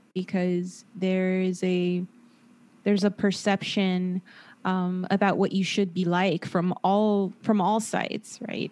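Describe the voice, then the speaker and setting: The recording is very clean with a silent background. A woman speaks at a very slow pace in a monotone, flat intonation. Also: medium pitch for a woman. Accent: Southern California. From Los Angeles, San Fernando Valley. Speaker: therapist and podcaster. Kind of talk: casual interview.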